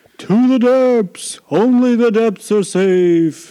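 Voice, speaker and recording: At a very slow pace, a man uses a put-on character voice at a high pitch. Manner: dramatic, calling out.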